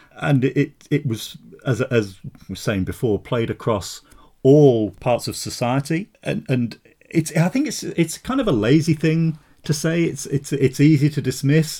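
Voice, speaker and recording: Somewhat breathy and dark, mellow in tone, a man's fairly high voice moves at a fairly slow pace with lively intonation. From West Midlands, England (Wolverhampton). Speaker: author and school teacher. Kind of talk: podcast interview. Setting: remote call from home.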